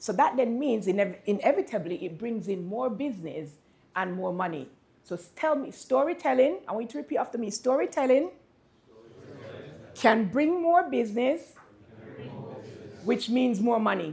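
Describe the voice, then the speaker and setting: With very wide pitch swings and a somewhat breathy sound, a woman speaks in an animated tone at a moderate pace, leaving long, frequent pauses. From Jamaica. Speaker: business speaker. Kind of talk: workshop presentation.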